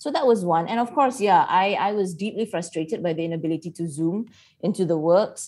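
At a fairly quick pace, a woman speaks at a medium pitch in a dark, mellow tone with ordinary pitch variation. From Malaysia. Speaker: writer and playwright. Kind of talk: casual chat.

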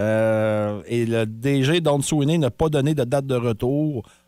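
A man's very slow, medium-pitched voice in a Quebec accent, lively intonation, very clean recording with a silent background. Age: 40s. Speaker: morning radio host. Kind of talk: casual radio banter. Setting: radio studio.

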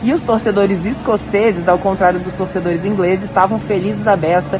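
A woman at medium pitch, fairly even intonation and a fairly quick pace, with noticeable background noise and audible room echo. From Brazil. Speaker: sports reporter. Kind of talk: field report. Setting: empty stadium after match.

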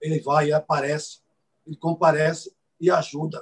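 The speaker is a man. His pitch is fairly high for a man. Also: dry, close sound with no echo. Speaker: organized fan group founder, club presidential candidate. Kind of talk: interview, campaign pitch.

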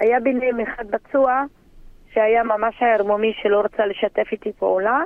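At a moderate pace, a woman talks in a plain, everyday voice, fairly high in pitch with fairly even intonation. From Druze village on Mount Carmel, northern Israel. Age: 40s. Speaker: interviewee, local hero. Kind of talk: interview testimony.

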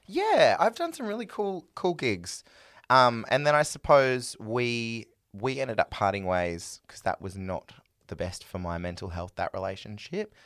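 A man's voice with very wide pitch swings and big swings in loudness, in a very clean recording with a silent background. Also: medium pitch for a man, moderate pace. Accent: Australian. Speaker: singer. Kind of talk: casual chat.

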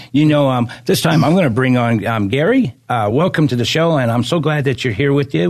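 This man uses a normal speaking voice, pitched at a medium level. His pitch varies in an ordinary way. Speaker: radio host and pastor. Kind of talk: radio show hosting and interview. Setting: studio.

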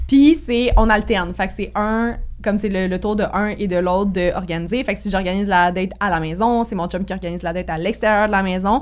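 The talking runs at a fairly quick pace in a normal speaking voice. Pitch varies in an ordinary way. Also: woman, medium pitch for a woman. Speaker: podcast co-host guest. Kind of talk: casual chat.

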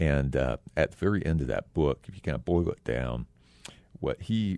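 A man with an American accent speaks at a fairly quick pace in a very deep, low voice with vocal fry. His tone is dark and mellow, and the sound is dry and close with no echo. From Texas. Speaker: community foundation leader. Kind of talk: radio interview.

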